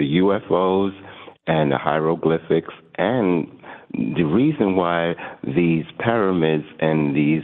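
Amid noticeable background noise, the voice shows ordinary pitch variation. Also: man. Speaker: radio call-in caller. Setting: phone.

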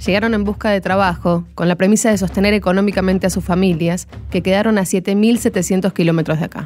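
A woman with a Rioplatense accent, medium pitch and fairly even intonation, fairly quick and hardly pausing, music in the background. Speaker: podcast host. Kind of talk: scripted narration.

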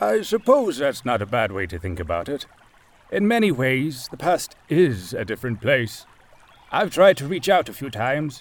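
Putting on a gruff character voice, a man at medium pitch swings very widely in pitch at a moderate pace. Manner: suspicious, gruff but warming.

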